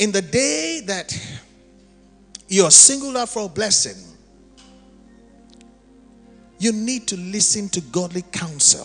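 With faint music in the background, a man talks in a raised, projected voice. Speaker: preacher. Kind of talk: sermon. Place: church. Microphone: handheld.

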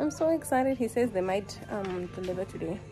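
A woman talking at a fairly quick pace, with clear music in the background. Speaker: vlogger. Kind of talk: casual vlog chat. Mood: excited, cheerful. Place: shop. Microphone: phone near.

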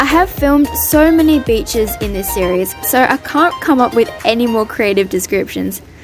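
Music plays in the background as a woman talks at a moderate tempo. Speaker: travel vlogger. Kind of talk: vlog narration.

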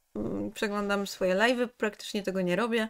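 With a quiet background, a woman's voice shows ordinary pitch variation. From Poland, Kraków; Poland. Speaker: game streamer. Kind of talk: casual chat. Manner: animated. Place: home room.

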